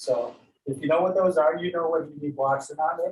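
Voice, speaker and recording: At a moderate pace comes a plain, everyday voice. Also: man. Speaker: yoga teacher. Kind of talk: guided yoga class. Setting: online class, room with windows open.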